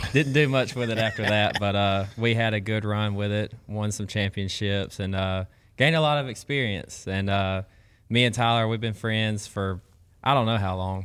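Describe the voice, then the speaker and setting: At a moderate pace, a man with a fairly low pitch speaks with fairly even intonation. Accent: Southern US. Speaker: collegiate angler. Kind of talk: casual chat.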